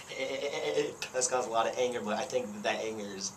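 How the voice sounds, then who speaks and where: A man speaks fairly quickly amid noticeable background noise and an audible room echo. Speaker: punk band lead singer. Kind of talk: interview. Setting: camcorder recording. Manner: halting, repeated words.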